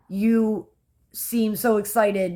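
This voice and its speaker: Here a woman speaks with a Philadelphia accent. The recording is very clean, with a silent background. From US Northeast, Philadelphia. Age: 30s. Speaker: vlogger. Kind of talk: casual vlog talk.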